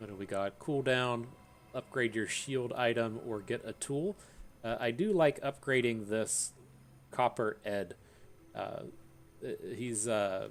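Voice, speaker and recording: A man with an American accent speaks at a medium pitch. He goes fairly slowly, with long, frequent pauses. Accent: Appalachian, comes out on occasion. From Appalachia, US. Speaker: gaming YouTuber. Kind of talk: gameplay commentary. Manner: halting, many fillers.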